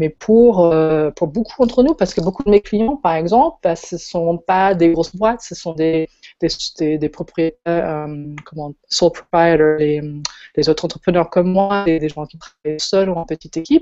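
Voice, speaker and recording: Her voice fairly low in pitch, a woman speaks at a fairly slow pace with ordinary pitch variation and big swings in loudness. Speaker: web designer and event organizer. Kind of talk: casual chat.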